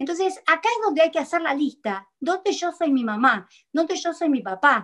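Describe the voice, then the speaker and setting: Against a quiet background, a woman in a Rioplatense accent speaks with very wide pitch swings. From Argentina. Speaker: psychologist; guest. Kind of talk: talk show interview. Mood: earnest, reassuring. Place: home room. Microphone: video call.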